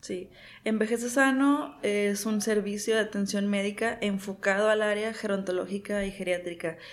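Medium pitch, a moderate pace and fairly even intonation in a woman's plain, everyday voice. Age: 30s. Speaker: physician, gerontologist. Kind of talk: interview.

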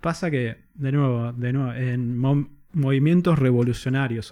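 A man's dark, mellow voice at a medium pitch with fairly even intonation, against a quiet background. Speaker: guest content creator. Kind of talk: casual chat.

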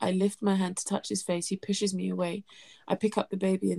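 Simply a natural reading voice

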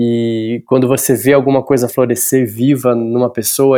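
Man at medium pitch with a dark, mellow tone, at a fairly slow pace. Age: 40s. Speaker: actor and art teacher. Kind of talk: interview. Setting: remote call from home. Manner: halting, many fillers.

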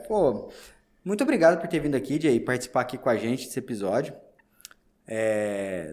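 With very wide pitch swings and long, frequent pauses, a man speaks at a medium pitch and moderate pace. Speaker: podcast host. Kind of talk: casual interview.

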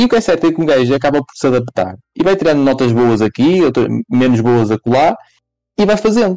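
A man's fairly high, dark and mellow voice at a fairly quick pace, with long, frequent pauses, very wide pitch swings and very even loudness, in a dry, close sound with no echo. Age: 20s. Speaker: podcast co-host. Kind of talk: casual chat.

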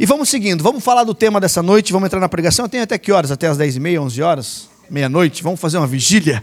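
A man speaks at a very fast clip with hardly any pauses, his pitch high for a man. His tone is animated, with very wide swings in pitch. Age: 40s. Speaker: lay preacher. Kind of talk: sermon.

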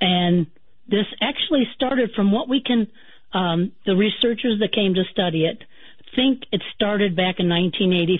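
A woman with an ordinary speaking voice talks at a fairly slow pace and medium pitch, with ordinary pitch variation. Her loudness stays very even. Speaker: haunting witness recounting family's experience. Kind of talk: personal testimony in radio interview.

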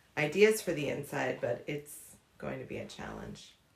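Speech in an American accent against noticeable background noise. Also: woman. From Pittsburgh area, Pennsylvania. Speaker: homeowner. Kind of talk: interview. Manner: hesitant, many fillers.

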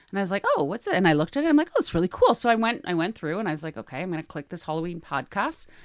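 Talking very fast, a woman of medium pitch swings her pitch very widely on a very clean recording with a silent background. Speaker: podcast host. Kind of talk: casual chat. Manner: fast talker.

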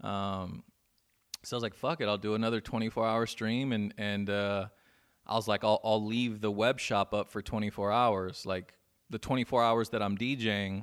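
A man with an American accent, fairly low pitched, monotone and flat, at a fairly slow pace, on a very clean recording with a silent background. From Inland Empire, Southern California. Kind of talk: casual interview chat.

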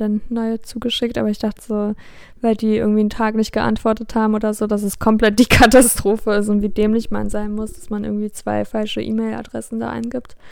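Speaking at a fairly quick pace, a woman with a fairly high pitch keeps a monotone, flat intonation. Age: 20s. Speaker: podcast co-host, student. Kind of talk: casual chat.

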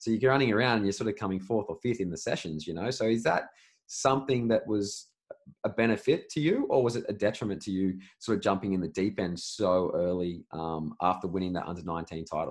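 A man's fairly low-pitched, fairly quick delivery in a normal speaking voice. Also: ordinary pitch variation. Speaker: podcast host. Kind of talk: interview, conversational.

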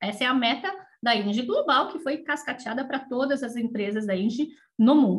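A woman talks at a moderate pace with a high pitch and ordinary rise and fall in her voice. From Brazil, São Paulo. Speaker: energy company executive. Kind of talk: interview.

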